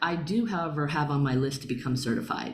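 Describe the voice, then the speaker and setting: In an American accent, a woman speaks at a moderate pace with audible room echo. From Long Island, New York. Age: 40s. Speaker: spiritual healer and meditation teacher. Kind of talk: online workshop talk. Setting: video call.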